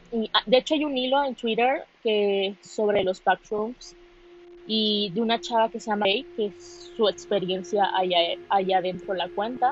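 A woman's pitch swings very widely as she talks fairly slowly. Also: fairly high pitch for a woman. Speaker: amateur podcaster. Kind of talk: casual monologue. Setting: alone in a quiet room. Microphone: phone recording.

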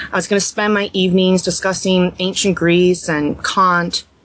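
This woman's medium-pitched voice moves at a moderate pace, with noticeable background noise behind it. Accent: American. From US Mid-Atlantic, Montgomery County, Maryland. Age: 30s. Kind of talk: podcast interview.

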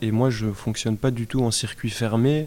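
Here a man speaks at a fairly slow pace. His medium-pitched voice keeps a fairly even intonation. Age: 20s. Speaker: social sciences student. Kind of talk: interview testimony. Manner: halting, many hesitations.

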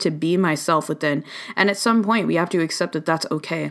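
With vocal fry, a woman speaks at a moderate pace on a very clean recording with a silent background. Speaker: spiritual healer and tarot reader. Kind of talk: solo podcast monologue, reflective. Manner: reflective, conversational, earnest.

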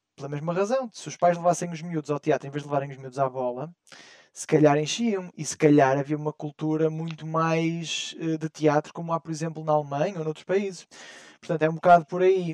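A man talks at a fairly quick pace with fairly even intonation. The sound is dry and close, with no echo. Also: fairly high pitch for a man. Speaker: podcast co-host. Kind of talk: casual chat.

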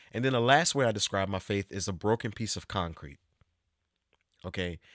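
An unremarkable speaking voice with ordinary pitch variation sounds dry and close with no echo, on a very clean recording with a silent background. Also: man. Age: 30s. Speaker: podcast host. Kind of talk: casual chat.

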